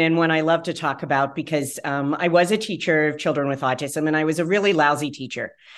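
Against a quiet background, a woman with a very deep, low pitch speaks at a fairly quick pace. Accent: American. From West Virginia. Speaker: pediatrician. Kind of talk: interview.

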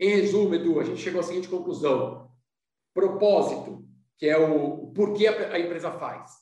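Audible room echo surrounds a man with a high pitch. He talks at a moderate pace. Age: 50s. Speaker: business consultant and company founder. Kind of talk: podcast interview.

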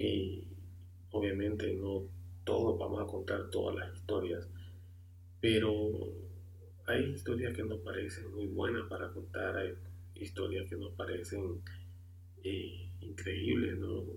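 A man's very deep, low voice, fairly slow and flat in a monotone, with audible room echo. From Honduras. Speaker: amateur podcast host. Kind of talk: podcast introduction monologue. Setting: home room, computer and microphone. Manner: halting, many filler sounds.

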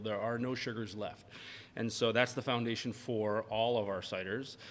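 A plain, everyday voice from a man with an American accent, medium pitch and fairly even intonation. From Maine, US. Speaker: craft fermented-beverage maker. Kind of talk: interview, casual chat. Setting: his tasting room.

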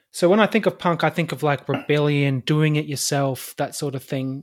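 Someone talks at a moderate pace in an Australian accent. The recording is very clean, with a silent background. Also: man. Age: 30s. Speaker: podcast host, gardener. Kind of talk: casual interview.

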